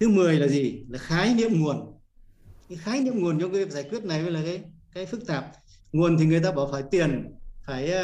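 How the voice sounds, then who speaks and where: His voice is high-pitched. The man keeps a moderate pace. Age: 70s. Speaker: course participant, retiree. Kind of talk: personal testimony, reading documents aloud. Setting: video call.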